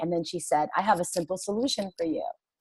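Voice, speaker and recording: This is a woman speaking with a New York accent. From Queens, New York. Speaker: stay-at-home mom and wellness product promoter. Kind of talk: interview. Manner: animated.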